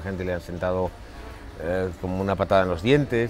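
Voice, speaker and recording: A man's very deep, low voice at a fairly quick pace, with clear music in the background. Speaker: interviewee. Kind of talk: interview answer. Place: garden. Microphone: lapel.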